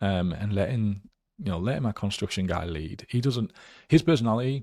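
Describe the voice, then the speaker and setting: A man with a Geordie accent, fairly low in pitch and dark and mellow in tone, with lively intonation at a fairly quick pace, in a very clean recording with a silent background. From northern England, Newcastle area. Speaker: real estate investor. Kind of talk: interview.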